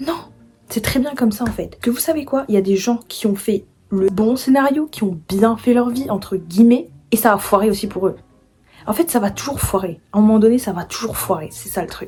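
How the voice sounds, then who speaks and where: A woman speaks at a moderate pace with a fairly high pitch and ordinary pitch variation. Music plays in the background. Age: 20s. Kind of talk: casual talk to camera.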